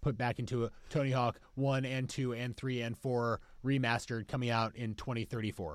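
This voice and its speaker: This is a man with a plain, everyday voice at medium pitch. He speaks at a moderate pace in a very clean recording with a silent background. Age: 30s. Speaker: company executive and gamer guest. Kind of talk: casual chat.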